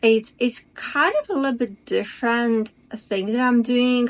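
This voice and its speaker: In a quiet background, a woman with a non-native accent speaks at a fairly slow pace with fairly even intonation. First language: not English. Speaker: spiritual coach. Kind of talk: casual talk to camera. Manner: halting.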